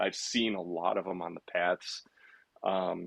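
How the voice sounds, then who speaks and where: Vocal fry colors the voice of a man speaking with an American accent. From Illinois, Chicago suburbs. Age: 60s. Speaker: cyclist, app user. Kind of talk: podcast interview. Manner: casual, with fillers and repeats.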